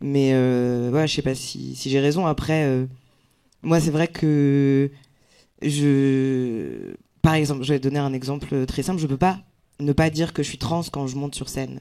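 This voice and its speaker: A man's fairly high-pitched, dark and mellow voice, monotone and flat, at a fairly slow pace with long, frequent pauses. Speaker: comedian. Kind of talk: round table discussion. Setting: stage with live audience. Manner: casual, hesitant.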